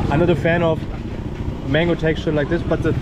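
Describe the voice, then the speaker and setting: A man speaks at a fairly quick pace through loud background noise. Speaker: travel vlogger. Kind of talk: casual vlog chat. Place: market. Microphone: phone near.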